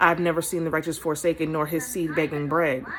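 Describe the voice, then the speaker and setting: Background noise is noticeable here. Over it, a woman talks at a fairly quick pace. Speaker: hair stylist and inspirational speaker. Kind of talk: casual encouraging talk to camera. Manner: conversational, hesitant with fillers.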